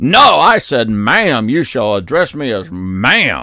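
Putting on a character voice at medium pitch, a man speaks at a fairly slow pace with very wide pitch swings. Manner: haughty, mocking.

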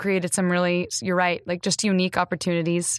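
A woman speaks at a medium pitch, the sound dry and close with no echo, on a very clean recording with a silent background. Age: 20s. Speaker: podcast co-host, actor and singer. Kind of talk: casual chat. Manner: animated.

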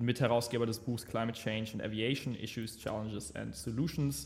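A man speaks with vocal fry. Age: 20s. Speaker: podcast co-host, entrepreneur. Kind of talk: casual political discussion. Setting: office. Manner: hesitant, many fillers.

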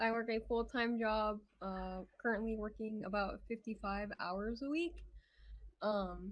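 This is a plain, everyday voice. It goes at a fairly slow pace. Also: woman, fairly high pitch for a woman. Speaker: VTuber streamer. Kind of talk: casual chat.

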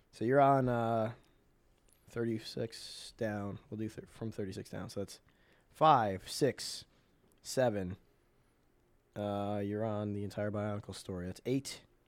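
A man talks at a fairly slow pace with long, frequent pauses. His loudness swings widely. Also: fairly even intonation. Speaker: podcast host. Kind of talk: casual banter between friends. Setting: studio.

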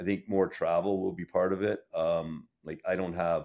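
A man speaks with a Canadian accent. His pace is moderate. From Sudbury, Ontario, Canada. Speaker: lawyer. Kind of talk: interview.

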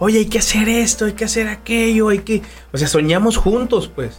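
A man at a very fast pace. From Durango, Mexico. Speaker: barber. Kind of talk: casual interview.

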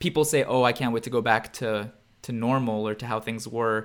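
A man speaks in a normal speaking voice at medium pitch. His pace is fairly quick and his intonation fairly even. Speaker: podcast co-host. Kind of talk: casual conversation.

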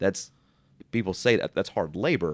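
A man with an American accent and ordinary pitch variation, in a dry, close sound with no echo and a very clean recording, silent background. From US, small town. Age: 30s. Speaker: entrepreneur, business owner. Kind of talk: casual interview.

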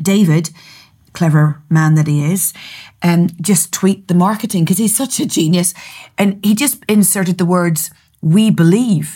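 On a very clean recording with a silent background, the voice sounds somewhat breathy, with ordinary pitch variation. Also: woman. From Northern Ireland. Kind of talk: casual chat about scripture and prophecy. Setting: studio.

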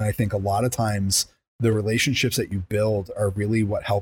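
In a very clean recording with a silent background, a man with a fairly low pitch speaks at a fairly quick pace and sounds somewhat breathy. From Long Island, New York. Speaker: salesperson. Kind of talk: casual chat. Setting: studio.

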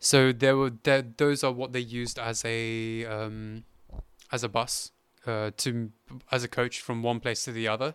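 A man with a British accent speaks at a fairly slow pace and medium pitch, in a monotone with flat intonation. The recording is very clean, with a silent background. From England. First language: Hindi. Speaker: podcast host, financial services worker, volunteer. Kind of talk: casual interview chat.

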